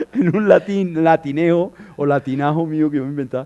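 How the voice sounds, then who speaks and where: A man is speaking. His tone is dark and mellow. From Colombia, Bogotá. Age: 60s. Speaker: artist, dancer and choreographer. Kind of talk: interview. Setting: stage with audience.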